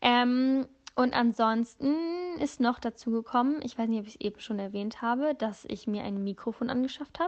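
With fairly even intonation, a woman talks in a high pitch. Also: moderate pace. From northern Germany. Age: 20s. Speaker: podcast host. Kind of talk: casual monologue. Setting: in bed in an apartment. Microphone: phone voice memo, no microphone.

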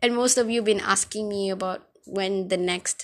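A woman's medium-pitched voice at a moderate pace with ordinary pitch variation, on a very clean recording with a silent background. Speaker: podcast host. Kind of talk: casual solo podcast monologue. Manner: halting, stumbling over words; rambling, filler-heavy, informal.

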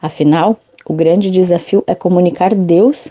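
Heard at a moderate pace, an ordinary speaking voice comes across dry and close with no echo. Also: woman. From Santa Catarina, southern Brazil. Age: 30s. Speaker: journalist and parish communicator. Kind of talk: interview.

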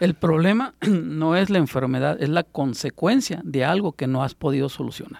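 A man with a plain, everyday voice, fairly high-pitched, with lively intonation, a moderate pace and hardly any pauses, in a dry, close sound with no echo. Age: 20s. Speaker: alternative health therapist. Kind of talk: radio interview. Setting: radio studio.

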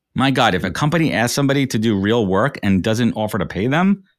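Speaking with an American accent in a normal speaking voice, a man uses lively intonation at a fairly quick pace in a very clean recording with a silent background. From New York. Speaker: recruiter and business founder. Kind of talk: interview.

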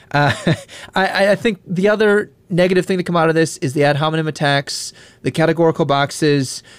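A man with an American accent has a plain, everyday voice. He talks at a fairly quick pace in a fairly high pitch with ordinary pitch variation. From Wisconsin. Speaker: podcast host. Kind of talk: casual chat.

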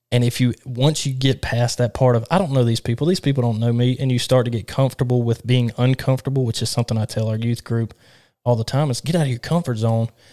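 In a very clean recording with a silent background and a dry, close sound with no echo, a man with a Southern US accent speaks at a very fast pace and medium pitch, his dark, mellow tone keeping a fairly even intonation. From Alabama. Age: 20s. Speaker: podcast host and church youth leader. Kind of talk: casual chat.

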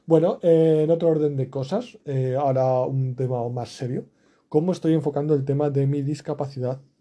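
A dark, mellow tone at a fairly slow pace, with fairly even intonation against a quiet background. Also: man. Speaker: podcaster. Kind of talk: daily monologue podcast. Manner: low energy; hesitant.

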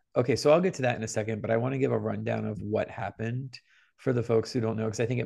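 A man talks at a medium pitch with ordinary pitch variation. His voice carries vocal fry. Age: 20s. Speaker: podcast co-host. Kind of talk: casual chat. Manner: animated.

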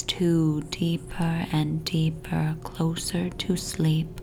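A woman speaks very slowly in a very deep, low, monotone voice with flat intonation over noticeable background noise. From Toronto, Canada. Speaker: hypnotist. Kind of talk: guided hypnosis meditation for sleep. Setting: home recording with family noise in the background. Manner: slow, soothing, hypnotic repetition; soft, calm and gently paced.

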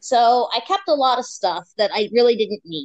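A woman's plain, everyday voice, fairly high in pitch, with lively intonation at a moderate pace. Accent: American. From US. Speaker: podcast guest, expat. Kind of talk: casual interview chat. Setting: remote call.

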